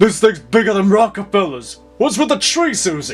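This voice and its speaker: A man puts on a character voice at a high pitch, with very wide pitch swings. He keeps a moderate pace over faint music in the background. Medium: audio drama. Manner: gruff, slangy.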